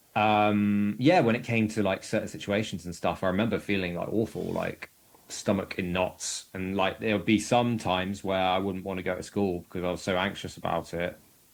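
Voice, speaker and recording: Pitched fairly low, a man with a southern English accent speaks with fairly even intonation. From southern England, Bracknell near Reading. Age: 30s. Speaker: podcast guest with lived experience of anxiety. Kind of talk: casual interview chat. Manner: hesitant, many fillers.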